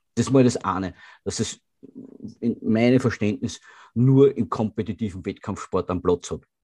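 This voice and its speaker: A man speaks in a dark, mellow tone with ordinary pitch variation. He leaves long, frequent pauses. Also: medium pitch for a man, moderate pace, quiet background. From Austria. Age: 30s. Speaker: bodybuilder and gym owner. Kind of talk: casual interview. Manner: halting, many repeated words.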